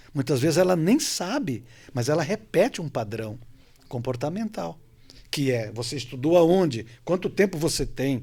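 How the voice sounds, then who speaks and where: A man talks at a moderate pace in a fairly high, dark, mellow voice with lively intonation. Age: 60s. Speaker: coach and hypnotherapist. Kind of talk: panel discussion.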